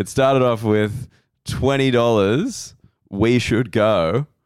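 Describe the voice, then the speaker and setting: Speaking very slowly, a man talks with an Australian accent. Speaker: comedian and podcast host. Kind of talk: casual chat. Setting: hotel room.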